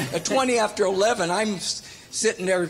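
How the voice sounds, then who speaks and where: Noticeable background noise sits behind a man speaking. He talks fairly quickly with ordinary pitch variation. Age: 80s+. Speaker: businessman. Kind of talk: speech at town hall.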